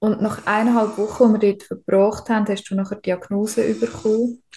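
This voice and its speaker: Speaking in a Swiss accent, a woman has a fairly high pitch and a dark, mellow tone. Her somewhat breathy voice holds a flat monotone. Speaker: podcast co-host, spiritual medium. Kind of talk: interview. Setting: hospital room.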